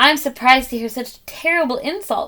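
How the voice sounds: A woman speaks in a put-on character voice, pitched high. Her pace is fairly quick. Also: ordinary pitch variation.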